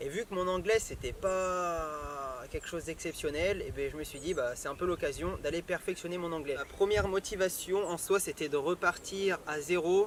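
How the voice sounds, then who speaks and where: A man talks at a moderate pace. His voice is high-pitched, with ordinary pitch variation. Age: 20s. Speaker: travel vlogger. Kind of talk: casual talk to camera.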